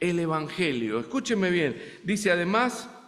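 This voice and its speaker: A man with a slight Argentine accent and a high pitch is heard with audible room echo and noticeable background noise. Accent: Argentine Spanish, somewhat. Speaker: visiting preacher. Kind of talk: sermon. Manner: halting, many fillers.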